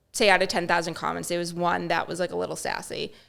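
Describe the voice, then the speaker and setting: This is a woman speaking. She has a Boston accent. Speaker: social media influencer. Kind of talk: podcast interview answer. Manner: upbeat, positive.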